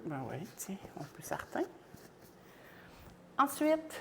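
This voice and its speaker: Over noticeable background noise, a woman with a Quebec accent speaks with very wide pitch swings and big swings in loudness. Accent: Québécois French. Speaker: home cook livestreamer. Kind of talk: cooking livestream. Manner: animated.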